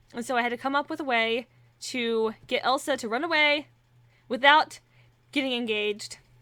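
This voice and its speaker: Bright and sharp in tone, a woman's fairly high voice keeps a fairly even intonation. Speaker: aspiring voice actor and YouTuber. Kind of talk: casual Q&A vlog. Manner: unscripted, rambling with fillers.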